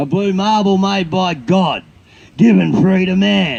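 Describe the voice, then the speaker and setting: At a very slow pace, a man speaks with a high pitch and lively intonation. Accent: Australian. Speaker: bush poet. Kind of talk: poetry reading.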